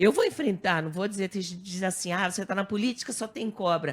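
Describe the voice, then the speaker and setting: Somewhat breathy and animated in tone, a woman talks at a fairly quick pace in a medium pitch with ordinary pitch variation, on a very clean recording with a silent background. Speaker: TV presenter and newly elected politician. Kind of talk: radio talk show interview. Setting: radio studio.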